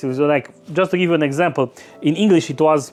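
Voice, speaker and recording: A man with a Romanian accent talks at a very fast pace. His pitch is fairly high. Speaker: book youtuber. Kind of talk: casual monologue. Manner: halting, many repetitions and fillers.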